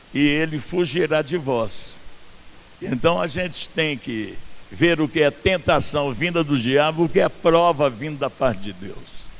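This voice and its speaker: A man's fairly high-pitched voice at a fairly slow pace, with lively intonation. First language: not Portuguese (speaking Portuguese). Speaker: pastor. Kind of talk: sermon. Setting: outdoor church event with congregation.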